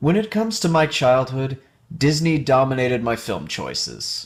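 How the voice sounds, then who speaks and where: A man with a plain, everyday voice speaks at a fairly slow pace, medium in pitch and with lively intonation. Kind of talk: video essay narration.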